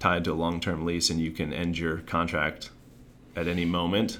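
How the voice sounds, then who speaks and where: A man's very deep, low voice moves at a moderate pace, with audible room echo around it. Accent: American. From Maryland. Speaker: commercial real estate developer. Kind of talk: interview.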